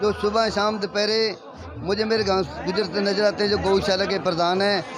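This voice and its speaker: Music plays behind a man with a high-pitched voice. He speaks in a flat monotone, and the room echo is audible. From Haryana, Sirsa district. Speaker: village vlogger and comedian reporting from a fair. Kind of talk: on-location vlog with interviews.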